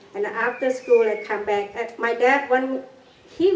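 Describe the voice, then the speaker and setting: Moderate pace, lively intonation and a high pitch from a woman, with noticeable background noise around her. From Cambodia. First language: Khmer. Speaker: genocide survivor. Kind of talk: public talk. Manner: halting.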